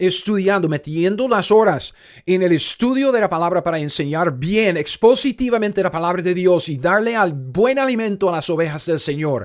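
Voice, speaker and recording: On a very clean recording with a silent background, a man with a non-native accent and a high voice speaks in an animated tone with lively intonation. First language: not Spanish (speaking Spanish). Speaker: Bible teacher. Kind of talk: Bible study teaching.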